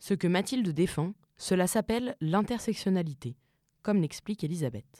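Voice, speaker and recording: The very clean recording, set against a silent background, carries speech at a moderate pace. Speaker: podcast narrator. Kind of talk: scripted narration.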